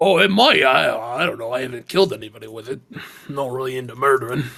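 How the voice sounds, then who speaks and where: Putting on a character voice, a man rattles along at a very fast pace at a medium pitch. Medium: actual play. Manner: rambling, hesitant, stammering.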